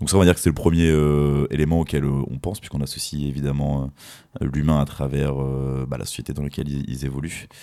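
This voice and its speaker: At a fairly quick pace, a man speaks in a very deep, low pitch with monotone, flat intonation. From France, Fontainebleau area. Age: 30s. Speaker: spirits brand ambassador. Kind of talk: interview. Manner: halting, many repetitions.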